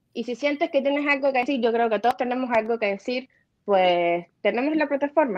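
A woman speaks at a very fast pace in a high pitch, with a quiet background behind her. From Cuba. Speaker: film producer and new online show host; new online show host. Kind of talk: interview. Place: home room. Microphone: video call.

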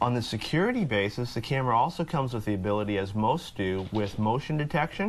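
Over light background noise, a man with a fairly low voice talks at a very fast pace with lively intonation. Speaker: guest. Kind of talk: interview answer. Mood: upbeat, chatty. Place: studio. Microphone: lapel.

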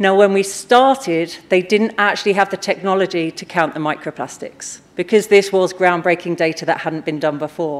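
A woman talks in an ordinary speaking voice at a moderate pace. Her pitch is fairly low, with ordinary pitch variation. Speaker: conference speaker. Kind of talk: conference talk. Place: stage.

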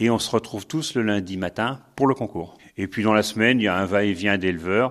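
A man uses a normal speaking voice at a fairly low pitch. He talks at a moderate pace on a very clean recording with a silent background. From France, Sarthe. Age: 60s. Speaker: retired sheep farmer. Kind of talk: interview. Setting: on a farm.

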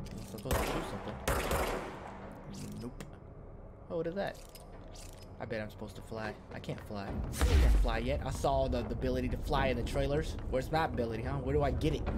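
Through loud background noise, a man talks at a very fast pace. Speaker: game streamer. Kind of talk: gameplay commentary.

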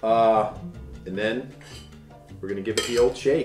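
Clear music plays in the background as a man with an American accent speaks at a moderate pace, with audible room echo. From United States. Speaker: voice actor. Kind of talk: casual talk to camera. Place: home room. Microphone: camera far.

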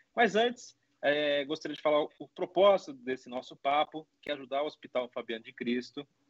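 The speech moves at a moderate pace with ordinary pitch variation, in a dry sound with no echo against a quiet background. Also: man. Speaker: podcast host. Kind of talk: podcast intro. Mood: warm, upbeat. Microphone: video call.

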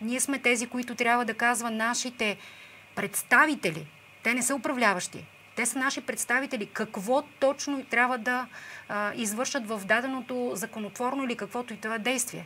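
A woman talks at a moderate pace with a fairly high pitch and a bright, sharp tone. Her intonation stays fairly even over light background noise. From Bulgaria. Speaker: protest organizer; guest. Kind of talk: TV interview. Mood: earnest, critical of government. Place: studio. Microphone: lapel.

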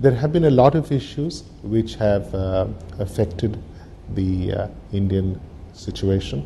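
Over music in the background, a man speaks at a fairly slow pace. His pitch is fairly low. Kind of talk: interview answer. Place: office.

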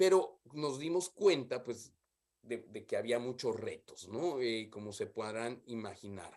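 Over a quiet background, a man with a Mexican accent talks at a fairly slow pace with lively intonation. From Mexico. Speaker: development specialist; remote presenter. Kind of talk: conference talk. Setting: video call. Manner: halting. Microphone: earbuds.

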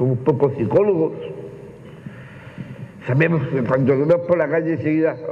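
A man with an Andalusian accent speaks at a moderate pace with a fairly high pitch and long, frequent pauses, over light background noise. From Málaga, Spain. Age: 40s. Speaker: actor, lecturer and teacher. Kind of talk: public talk answer. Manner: effusive, outspoken. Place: stage. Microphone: lapel.

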